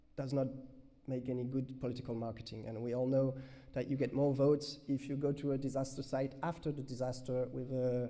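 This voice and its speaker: Fairly quick, monotone speech from a man of medium pitch in a French accent, dark and mellow in tone, with audible room echo. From France. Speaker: researcher. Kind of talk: conference Q&A answer. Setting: conference with audience. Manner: halting.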